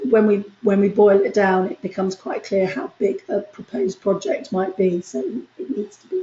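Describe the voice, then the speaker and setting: A woman speaks in a somewhat breathy voice, with big swings in loudness. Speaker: university lecturer. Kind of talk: lecture.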